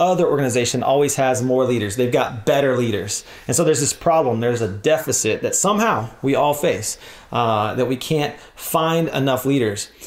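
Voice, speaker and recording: This man speaks at a fairly quick speed with ordinary pitch variation while noticeable background noise carries on behind him. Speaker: church leadership trainer. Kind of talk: workshop talk. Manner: fast.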